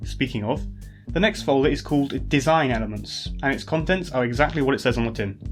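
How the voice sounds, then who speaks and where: With music in the background, a man speaks at a very fast pace. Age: 20s. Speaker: YouTube video essayist. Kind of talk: casual narrated video commentary. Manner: wry, rambling.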